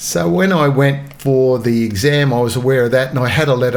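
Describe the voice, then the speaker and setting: A man with an Australian accent talks at a fairly quick pace, his medium pitch showing ordinary variation and his loudness very even. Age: 70s. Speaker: retired police officer. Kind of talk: storytelling interview. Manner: halting.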